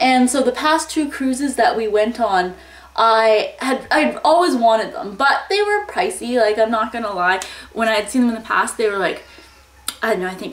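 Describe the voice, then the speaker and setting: At a moderate pace, a woman speaks with audible room echo around her. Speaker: lifestyle vlogger. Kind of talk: casual vlog chat. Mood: cheerful, chatty. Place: home room. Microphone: phone near.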